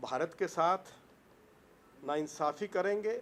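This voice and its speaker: A man speaks at a high pitch. His pitch variation is ordinary. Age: 70s. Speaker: politician. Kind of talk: press conference. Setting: press conference.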